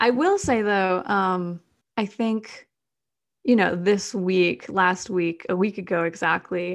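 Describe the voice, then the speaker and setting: An unremarkable speaking voice from a woman with an American accent, medium in pitch, with fairly even intonation at a fairly slow pace against a quiet background. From US Midwest, Madison, Wisconsin. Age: 20s. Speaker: climate activist. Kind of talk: interview.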